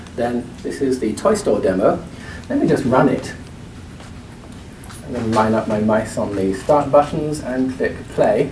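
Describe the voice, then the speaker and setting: A man with an English accent at a medium pitch, fairly slow with lively intonation and long, frequent pauses, amid audible room echo and noticeable background noise. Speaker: product marketing demonstrator. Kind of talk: product demo presentation.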